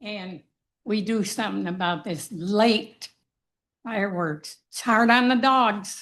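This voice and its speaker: Against a quiet background, a woman talks at a very slow pace in a medium pitch, her loudness swinging widely. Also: ordinary pitch variation. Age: 80s+. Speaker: resident speaking at public comment. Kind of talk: public comment at council meeting. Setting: town council meeting room.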